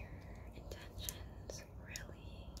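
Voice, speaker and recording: Whispered speech from a woman. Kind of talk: casual vlog chat. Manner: soft, hushed ASMR speaking voice. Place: home room. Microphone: phone near.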